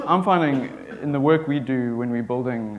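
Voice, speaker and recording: With a South African accent, a man speaks at a medium pitch with ordinary pitch variation. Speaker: software developer. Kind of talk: conference talk.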